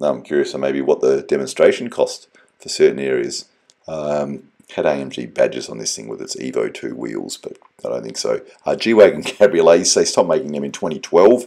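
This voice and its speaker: A man's loudness rises and falls widely as he talks at a moderate pace. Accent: Australian. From Australia. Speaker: car enthusiast vlogger. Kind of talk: video voiceover narration. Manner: casual, many filler ums.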